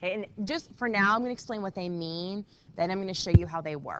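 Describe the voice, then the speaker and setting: Her pitch rising and falling in an ordinary way, a woman speaks. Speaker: math teacher. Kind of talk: classroom lesson. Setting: classroom. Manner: quiet.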